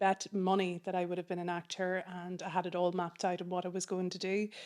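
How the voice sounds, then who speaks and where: A woman with a Donegal accent speaks at a medium pitch in a monotone, flat intonation. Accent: Donegal Irish. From Ireland, County Donegal. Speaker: film program manager. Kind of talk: interview.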